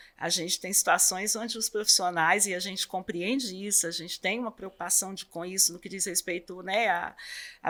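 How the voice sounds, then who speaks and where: In a very clean recording with a silent background, a woman at medium pitch talks at a moderate pace with fairly even intonation. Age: 60s. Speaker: superintendent of a support house for children with cancer. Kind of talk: interview. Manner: hesitant, many fillers.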